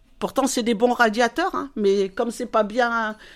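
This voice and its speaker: A woman speaks at a fairly high pitch and a fairly slow pace with ordinary pitch variation. The recording is very clean, with a silent background. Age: 60s. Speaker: retiree. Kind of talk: testimony. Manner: lively.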